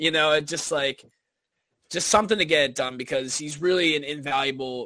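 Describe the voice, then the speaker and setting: Bright and sharp in tone, a man's fairly high-pitched voice moves at a fairly quick pace with ordinary pitch variation. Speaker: college student and hockey writer. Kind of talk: casual sports talk. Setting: live stream.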